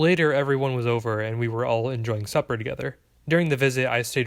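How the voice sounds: Pitch variation here is ordinary. The voice is a natural reading voice.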